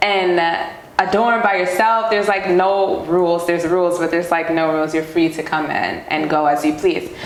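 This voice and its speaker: A woman with a New York accent at a moderate pace and ordinary pitch variation, amid noticeable background noise and audible room echo. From New York City (Queens). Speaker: professional dancer. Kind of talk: casual interview.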